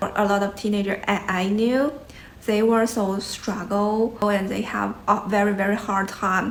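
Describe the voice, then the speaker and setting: With a Chinese accent, a woman speaks at a medium pitch and fairly slow pace in a monotone, flat intonation, with audible room echo. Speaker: YouTuber. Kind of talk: casual vlog talk.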